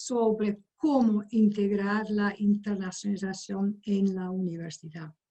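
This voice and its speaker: A woman speaks at a very slow pace and a medium pitch. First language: not Spanish (speaking Spanish). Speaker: higher education expert. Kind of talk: lecture.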